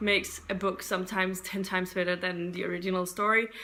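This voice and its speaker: A woman with a non-native accent talks at a fairly quick pace and a medium pitch. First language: not English. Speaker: book YouTuber. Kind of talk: casual vlog talk. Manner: halting, unscripted.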